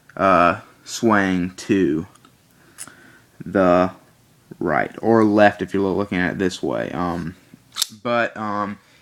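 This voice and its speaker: This man's voice sits at a fairly low pitch with fairly even intonation. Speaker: knife reviewer. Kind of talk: product review. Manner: halting, many fillers.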